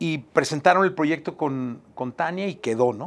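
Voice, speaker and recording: A man speaks at a fairly slow pace in a Mexican accent. The recording is very clean, with a silent background. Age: 50s. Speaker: podcast host. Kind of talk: casual chat.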